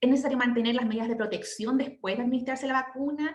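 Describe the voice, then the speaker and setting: Words come out at a very fast pace. The pitch varies in an ordinary way. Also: woman. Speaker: midwife. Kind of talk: lecture.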